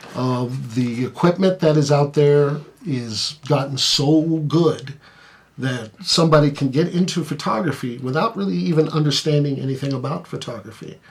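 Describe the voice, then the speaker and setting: A man's fairly high voice at a moderate pace, with ordinary pitch variation over noticeable background noise. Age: 50s. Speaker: photographer. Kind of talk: casual chat.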